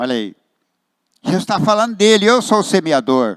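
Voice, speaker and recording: Speaking at a fairly slow pace, a man uses a high pitch with very wide pitch swings. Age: 70s. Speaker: pastor. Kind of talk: sermon.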